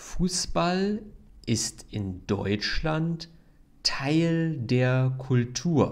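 A man's fairly high voice at a very slow pace, with very wide pitch swings. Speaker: German language teacher. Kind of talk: language lesson podcast. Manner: clear, deliberate.

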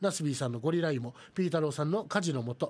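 The words come from a man at a very fast pace. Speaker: live streaming radio host. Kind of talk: casual chat. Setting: live stream. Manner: talkative, chatty. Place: studio. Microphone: studio mic.

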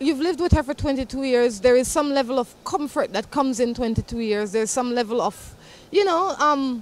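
The pace is moderate and the sound is dry, with no echo. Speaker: show host. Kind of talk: talk show chat and advice. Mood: upbeat, amused. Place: street. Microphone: handheld.

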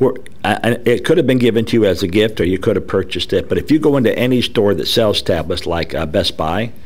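At a medium pitch, a man races along at a very fast pace with lively intonation. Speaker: technology expert. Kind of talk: casual chat. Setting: studio. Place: studio. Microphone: studio mic.

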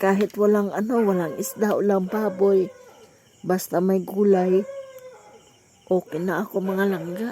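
Against noticeable background noise, a woman speaks in a monotone, flat intonation at a fairly slow pace and medium pitch, with long, frequent pauses. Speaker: vlogger. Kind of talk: casual vlog narration.

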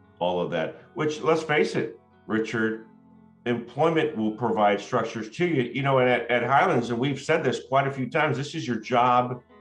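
At a moderate pace, a man speaks with ordinary pitch variation. Audible room echo and faint background music accompany him. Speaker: school host. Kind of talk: interview talk to a guest. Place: home room. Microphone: video call.

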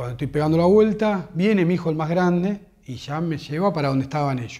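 In a dark, mellow tone, a man with a fairly high pitch speaks at a fairly quick pace with ordinary pitch variation against a quiet background. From Argentina, Buenos Aires. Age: 40s. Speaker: football fan. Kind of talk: interview testimony; interview answer. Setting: at home. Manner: halting. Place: home room.

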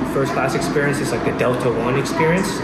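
A man speaks through loud background noise. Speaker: travel vlogger. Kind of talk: casual vlog chat.

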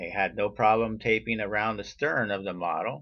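A man's fairly low-pitched voice. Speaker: scale model builder. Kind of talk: slide show tutorial narration. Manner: monotone.

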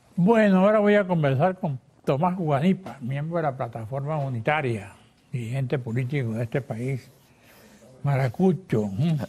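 With a dark, mellow tone and a somewhat breathy quality, a man talks at a moderate pace using lively intonation. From Venezuela, Falcón. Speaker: TV interviewer. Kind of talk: TV interview. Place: studio. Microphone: lapel.

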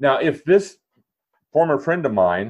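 Vocal fry in an American accent at a fairly slow pace. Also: man. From Minnesota. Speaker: author and kindness advocate. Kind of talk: casual interview chat.

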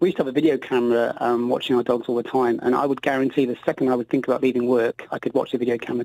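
A man speaks very fast in a dark, mellow tone with flat, monotone intonation. The sound is dry with no echo, and the background is quiet. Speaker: guest. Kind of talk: interview answer.

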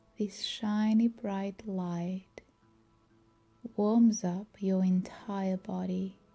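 A woman's medium-pitched, monotone, flat voice at a very slow pace, with long, frequent pauses and music in the background. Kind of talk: guided meditation. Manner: calm, slow, soothing.

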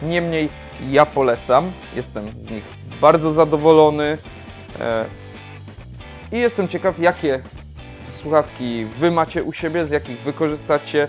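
Over faint background music, a man speaks at a fairly slow pace with ordinary pitch variation. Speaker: tech reviewer. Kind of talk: product review talk. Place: home room. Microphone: lapel.

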